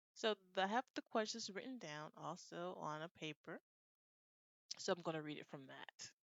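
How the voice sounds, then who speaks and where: A woman's plain, everyday voice, fairly low in pitch, with lively intonation, big swings in loudness and a moderate pace. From United States. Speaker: IELTS speaking tutor. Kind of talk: casual talk to camera.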